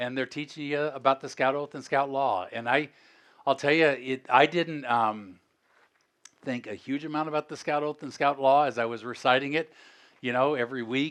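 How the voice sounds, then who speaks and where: A man with an unremarkable speaking voice talks at a fairly high pitch with fairly even intonation against a quiet background. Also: moderate pace. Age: 60s. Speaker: former airline CEO, speaker. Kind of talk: motivational talk to youth audience. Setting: stage with audience. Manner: casual, conversational with fillers.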